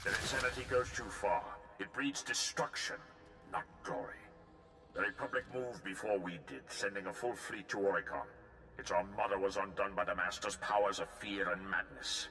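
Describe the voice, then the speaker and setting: A man puts on a character voice with a fairly low pitch and ordinary pitch variation. Background noise is clearly audible. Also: moderate pace. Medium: machinima. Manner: grave, clipped, commanding.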